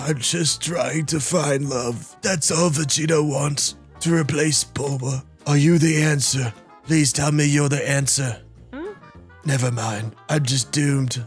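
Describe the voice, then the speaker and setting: Putting on a character voice, a man speaks at a fairly slow pace and fairly high pitch over clear music in the background. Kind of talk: comic overacting. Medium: virtual streamer. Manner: pompous, melodramatic.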